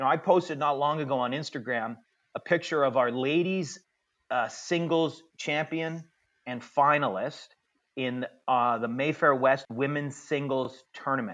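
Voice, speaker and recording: An unremarkable speaking voice with a Canadian accent, ordinary pitch variation and a moderate pace. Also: man, fairly high pitch for a man. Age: 50s. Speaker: tennis director and tournament announcer. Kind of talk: interview.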